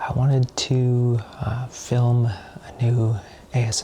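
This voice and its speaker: Noticeable background noise fills the clip. A man is talking. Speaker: ASMR artist. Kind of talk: soft-spoken ASMR sketching talk. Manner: soft-spoken, hesitant.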